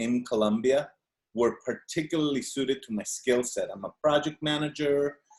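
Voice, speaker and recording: Here a man speaks in a Spanish accent. His pitch is fairly high and his pace moderate. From Venezuela. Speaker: audience member asking a question. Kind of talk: Q&A on video call. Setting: video call. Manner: halting.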